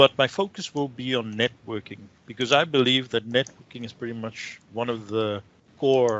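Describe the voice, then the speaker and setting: A man with a South African accent talks at a moderate pace, his medium-pitched voice showing ordinary pitch variation. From South Africa, Cape Town. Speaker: IT consultant and trainer. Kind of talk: tech talk presentation.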